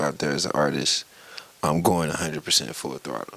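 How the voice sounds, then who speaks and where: A man speaks with a Southern US accent over noticeable background noise. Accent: country-sounding Southern. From US South, Tallahassee, Florida. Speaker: rapper and producer. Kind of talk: casual interview.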